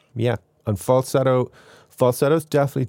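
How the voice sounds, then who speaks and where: On a very clean recording with a silent background, a man speaks with a slight Irish accent. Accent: mild Irish. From Ireland. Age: 40s. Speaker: composer and YouTuber. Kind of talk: casual interview.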